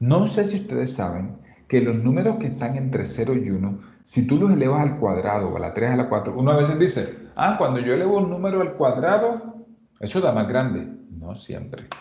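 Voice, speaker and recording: A man talks fairly quickly at a medium pitch with very wide pitch swings. Noticeable background noise and audible room echo surround him. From Colombian Caribbean coast. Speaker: math teacher. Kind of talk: lecture. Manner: fast.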